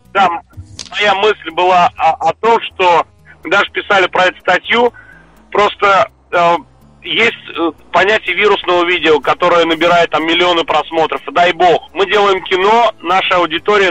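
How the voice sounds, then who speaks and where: Keeping his loudness very even, a man with a high pitch talks at a moderate pace with fairly even intonation. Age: 30s. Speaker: film director and screenwriter. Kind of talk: interview.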